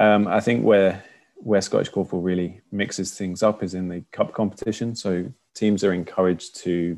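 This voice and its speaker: A man with a very deep, low pitch and a slight London accent speaks at a moderate pace. His intonation stays fairly even over a quiet background. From London, England. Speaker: korfball player and coach. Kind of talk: casual interview chat.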